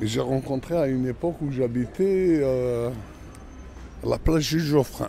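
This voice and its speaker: Long, frequent pauses mark a man's fairly slow speech, with a medium pitch and ordinary pitch variation. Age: 60s. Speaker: interviewee in documentary. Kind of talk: personal testimony.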